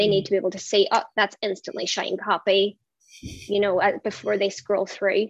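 In a strong Irish accent, a woman speaks at a medium pitch and moderate pace with monotone, flat intonation. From Ireland. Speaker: brand designer. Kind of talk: casual interview.

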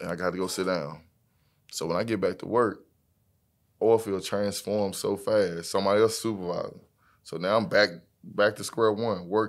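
Using fairly even intonation, a man with an American accent speaks at a moderate pace with long, frequent pauses. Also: fairly low pitch for a man, very clean recording, silent background. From Texas, Fort Worth. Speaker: trucking business owner. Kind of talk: casual interview.

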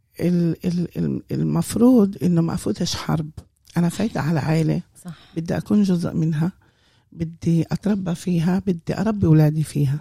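A woman speaks at a moderate pace with a fairly low pitch and a dark, mellow, somewhat breathy tone. Her loudness swings widely, and the sound is dry and close with no echo. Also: ordinary pitch variation. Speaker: community volunteer and mother. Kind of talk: casual interview.

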